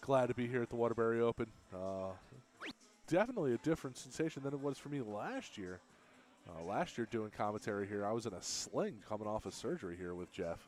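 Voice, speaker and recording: A man at medium pitch with lively intonation at a very fast pace, music in the background. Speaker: darts commentator. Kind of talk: live commentary.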